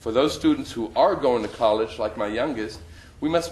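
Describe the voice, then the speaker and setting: Against noticeable background noise, a man speaks fairly quickly at a medium pitch. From Germany. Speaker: school board applicant. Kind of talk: prepared interview statement. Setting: public board interview. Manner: formal.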